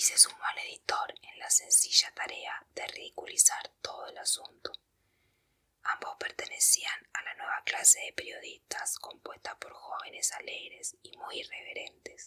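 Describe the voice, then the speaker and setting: Someone is whispering. The words come at a fairly slow pace. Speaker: ASMR reader. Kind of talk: audiobook reading. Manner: whispered.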